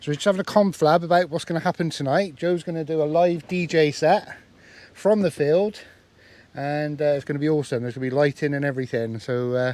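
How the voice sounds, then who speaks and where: A man with an English accent speaks at a very fast pace. His pitch is fairly high, with ordinary variation. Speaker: campervan vlogger. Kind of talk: casual vlog. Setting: outdoors at campsite field.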